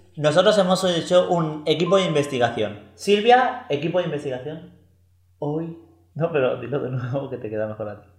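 A man's somewhat breathy, animated voice at a fairly high pitch, with very wide pitch swings, big swings in loudness, a moderate pace and audible room echo. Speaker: podcast co-host. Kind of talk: casual chat.

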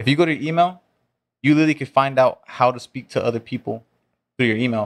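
In a Southern California accent, a man with a fairly high pitch talks at a very fast pace. Long, frequent pauses break up his speech. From Orange County and Inland Empire, California. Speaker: convention organizer and sales professional. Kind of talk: casual interview chat.

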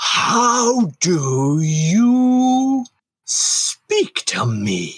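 In a put-on character voice, a man pushes his pitch extremely high. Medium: actual play. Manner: imperious, accusatory.

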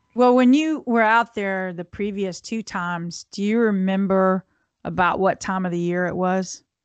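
A woman speaks at medium pitch and a moderate pace with ordinary pitch variation, in a normal speaking voice. The sound is dry and close with no echo, over a quiet background. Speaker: podcast co-host. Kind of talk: casual chat.

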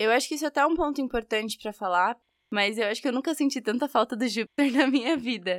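A woman talks at a fairly quick pace in a high pitch. The sound is dry and close, with no echo. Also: very clean recording, silent background. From São Bernardo, São Paulo state, Brazil. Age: 20s. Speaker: university student. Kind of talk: recorded interview.

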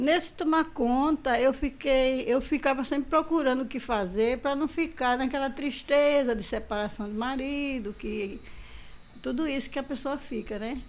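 High in pitch, a woman speaks with ordinary pitch variation. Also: moderate pace. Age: old. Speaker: community health group member. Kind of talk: interview.

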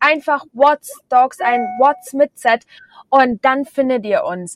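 Music plays in the background while a woman speaks very slowly in a Bavarian accent. The sound is dry and close, with no echo. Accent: Bavarian, often audible. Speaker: podcast host. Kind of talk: casual chat. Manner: animated.

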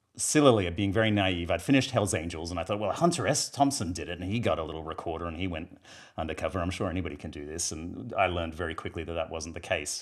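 A man speaks in a very deep, low voice with an Australian accent. He talks at a very fast pace with ordinary pitch variation. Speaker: screenwriter and filmmaker.

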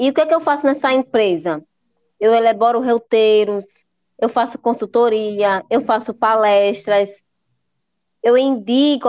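Using a plain, everyday voice, a woman talks at a fairly slow pace and a fairly high pitch with ordinary pitch variation. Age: 30s. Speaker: tour guide and accessible tourism consultant. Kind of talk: interview.

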